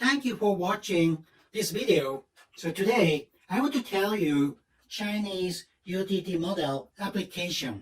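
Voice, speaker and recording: With a Japanese accent, a high-pitched man talks at a fairly slow pace and with lively intonation. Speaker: patent attorney. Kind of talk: seminar talk. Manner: halting.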